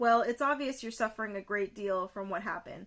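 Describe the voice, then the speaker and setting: Using a put-on character voice, a woman speaks at a fairly quick pace with a raspy, fairly high pitch and ordinary pitch variation. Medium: read story.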